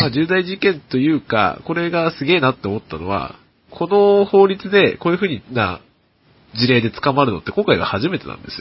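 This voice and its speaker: With very wide pitch swings, a man talks at a fairly high pitch. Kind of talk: casual chat. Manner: frequent laughter, filler-heavy.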